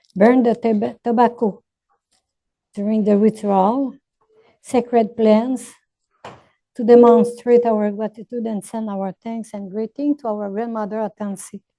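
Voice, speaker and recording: Speaking at a fairly slow pace with long, frequent pauses, a woman with a fairly high pitch and a dark, mellow tone keeps a monotone, flat intonation while her loudness swings widely. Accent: Quebec. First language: French. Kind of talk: opening ceremony address. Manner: halting.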